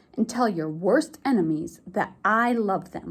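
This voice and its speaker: In a put-on character voice, a woman growls with a calm, gentle tone. Her medium pitch moves along at a fairly slow pace. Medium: read story. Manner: calm, gentle authority.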